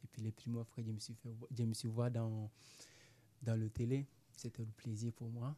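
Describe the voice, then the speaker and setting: A man speaks at medium pitch in a dark, mellow, somewhat breathy tone, flat and monotone, at a fairly slow pace with long, frequent pauses, in a dry, close sound with no echo. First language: not French (speaking French). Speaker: amateur actor, migrant. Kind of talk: interview. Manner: halting, broken French.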